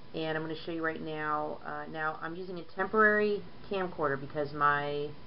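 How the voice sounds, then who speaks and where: Against noticeable background noise, a woman with a very deep, low pitch talks at a moderate pace with ordinary pitch variation. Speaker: painter and nail artist. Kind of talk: nail art tutorial talk to camera. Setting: older camcorder, slightly muffled audio. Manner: casual, chatty.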